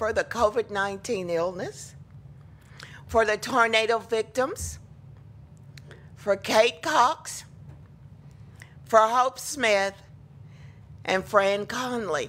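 A woman at a very slow pace, with long, frequent pauses and ordinary pitch variation. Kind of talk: church welcome announcements. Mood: warm, welcoming. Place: church. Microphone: podium.

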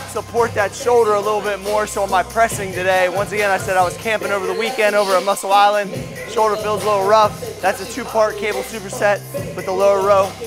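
A man at a very fast pace, high-pitched and monotone with flat intonation, over clear music in the background. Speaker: fitness coach. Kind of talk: tutorial. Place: gym.

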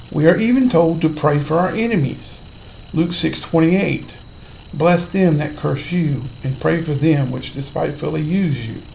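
A man's fairly slow speech, with ordinary pitch variation, comes through light background noise. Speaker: Bible teacher. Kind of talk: sermon-style Bible teaching vlog. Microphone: webcam.

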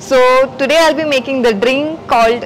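Ordinary pitch variation at a moderate pace, with faint music in the background. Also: woman. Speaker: show host making a drink. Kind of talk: tutorial. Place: bar.

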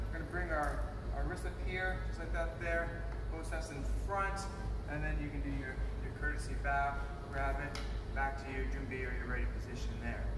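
Amid loud background noise and audible room echo, a man speaks with long, frequent pauses. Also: fairly quick pace. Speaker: martial arts instructor. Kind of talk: tutorial. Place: gym.

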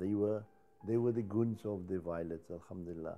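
A man talks with fairly even intonation and a moderate pace. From Cape Town, South Africa. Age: 70s. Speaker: Cape Malay choir singer. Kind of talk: interview answer. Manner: humorous. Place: home room. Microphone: lapel.

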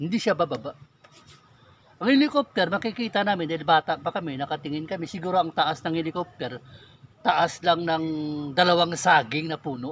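Light background noise sits under a man's high-pitched voice, the sound dry with no echo. He speaks at a fairly quick pace. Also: ordinary pitch variation. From Philippines, Negros Occidental; Philippines. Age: 40s. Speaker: YouTuber, religious and political commentator; YouTuber, political commentator. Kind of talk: personal testimony and political commentary. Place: forest. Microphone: phone near.

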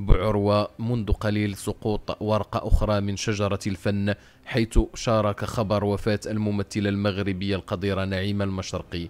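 A man with a Moroccan accent, fairly low in pitch and fairly slow in pace. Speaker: news channel presenter. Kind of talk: news reading.

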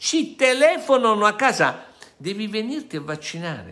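A man's high, raised and projected voice, bright and sharp in tone, animated, with very wide pitch swings, against a quiet background. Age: 60s. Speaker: lawyer and activist; lawyer. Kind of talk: monologue to viewers. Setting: studio. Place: home room. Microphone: phone near.

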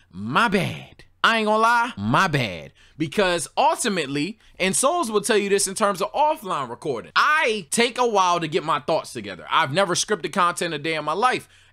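Projecting his raised voice over a quiet background, a man speaks in a high pitch with a bright, sharp tone, animated and swinging widely in pitch, moving at a moderate pace with hardly any pauses. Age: 20s. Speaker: streamer and podcast co-host. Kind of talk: casual livestream monologue reacting to chat. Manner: animated, repetitive with restarts. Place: home room. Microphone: studio mic.

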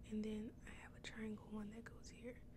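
Over noticeable background noise, a woman talks at a fairly high pitch and a fairly slow pace. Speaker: ASMR creator. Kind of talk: ASMR mukbang, casual talk to camera while eating. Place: home room. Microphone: studio mic.

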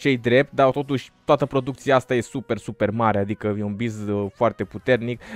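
A man speaks with ordinary pitch variation in a dry recording with no echo. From Romania. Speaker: gaming YouTuber. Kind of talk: gameplay commentary. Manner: animated. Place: home room. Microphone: studio mic.

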